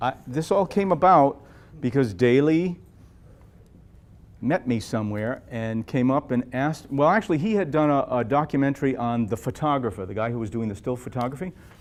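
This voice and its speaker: A man's medium-pitched voice with lively intonation at a fairly quick pace. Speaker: jazz guitarist. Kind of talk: Q&A after film screening. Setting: library event with audience. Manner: fast.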